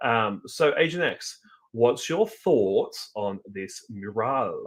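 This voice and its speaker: A man with an Australian accent at a very slow pace. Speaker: podcast host. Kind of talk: casual chat.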